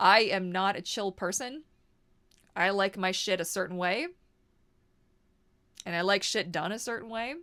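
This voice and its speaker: In a very clean recording with a silent background, a woman with a bright, sharp tone speaks with long, frequent pauses. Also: medium pitch for a woman, ordinary pitch variation, moderate pace. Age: 30s. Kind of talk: casual vlog monologue. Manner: loud; animated, conversational with fillers.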